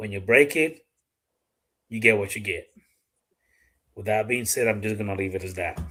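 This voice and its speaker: Music plays in the background as the speaker talks at a moderate pace with ordinary pitch variation and long, frequent pauses. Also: man, fairly low pitch for a man. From Dominican Republic. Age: 40s. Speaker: gun YouTuber and live streamer. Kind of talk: casual live-stream chat. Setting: live stream with a guest.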